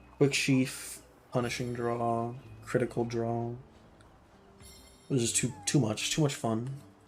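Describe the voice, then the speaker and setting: In a room with audible echo, a somewhat breathy man speaks at a medium pitch and a fairly slow pace, with monotone, flat intonation and long, frequent pauses. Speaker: gaming streamer. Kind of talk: casual chat. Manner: quiet, holding volume back.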